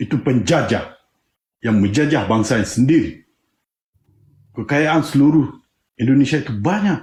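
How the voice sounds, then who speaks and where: A man's fairly high, somewhat breathy voice with lively intonation, a moderate pace and long, frequent pauses. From Aceh. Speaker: independence activist. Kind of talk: panel discussion. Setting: live stream. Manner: impassioned.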